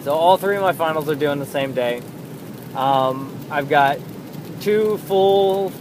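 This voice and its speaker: Over noticeable background noise, a man talks at a fairly slow pace in a fairly high pitch with fairly even intonation. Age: 20s. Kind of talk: casual monologue. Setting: in a car. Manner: halting.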